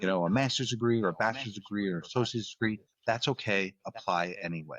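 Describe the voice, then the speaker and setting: Words come out at a very fast pace with an American accent. Pitch variation is ordinary. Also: man, fairly low pitch for a man. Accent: Northeast US accent, faint in everyday talk. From US Northeast. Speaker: podcast host. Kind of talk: interview conversation. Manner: halting, many fillers and repeats.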